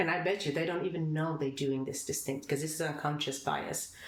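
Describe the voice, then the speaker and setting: Audible room echo surrounds a woman speaking at a very deep, low pitch. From Sweden. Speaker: company founder. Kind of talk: podcast interview. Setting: in person recording.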